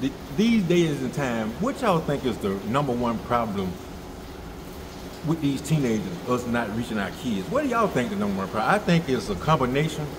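A man's speech runs at a moderate pace while noticeable background noise carries on. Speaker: vlogger. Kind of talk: casual vlog chat. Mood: serious, concerned. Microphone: phone near.

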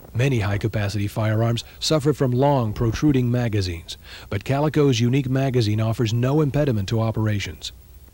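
A man speaks at a very fast pace in a medium pitch, his dark, mellow tone somewhat breathy and confident, with ordinary pitch variation. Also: very even loudness. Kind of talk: vintage TV commercial, scripted sales pitch. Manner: polished, authoritative announcer delivery; brisk, confident, hard-sell tone.

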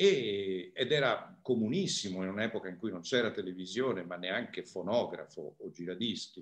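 Against a quiet background, a man with a fairly low pitch speaks at a moderate pace, hardly pausing. His pitch varies in an ordinary way, while his loudness swings widely. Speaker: musicologist lecturer. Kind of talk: lecture. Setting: video call. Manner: calm. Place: home room. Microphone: video call.

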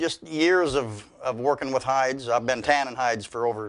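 A man speaks with intonation that is fairly even. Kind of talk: interview answer. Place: workshop.

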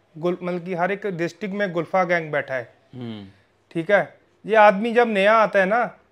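Against a quiet background, someone talks at a fairly slow pace with ordinary pitch variation. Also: man, high pitch for a man. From Punjab, near Khanna; Punjab. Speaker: horse breeder, stud farm owner. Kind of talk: casual interview.

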